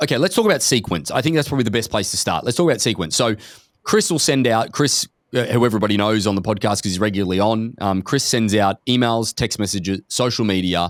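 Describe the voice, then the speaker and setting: A man with an Australian accent, medium-pitched, very fast, with very even loudness and ordinary pitch variation. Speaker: podcast host, company executive. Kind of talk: casual podcast conversation.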